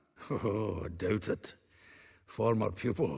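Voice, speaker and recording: Doing a put-on character voice, a man speaks fairly slowly in a raspy, fairly low register with ordinary pitch variation. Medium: video game. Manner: chatty, laughing.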